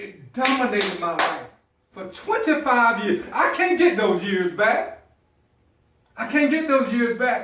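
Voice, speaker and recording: In a Southern US accent, a man speaks at a fairly slow pace with an extremely high pitch and very wide pitch swings, amid audible room echo. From US South, South Carolina. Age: 50s. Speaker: motivational speaker. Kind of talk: motivational speech.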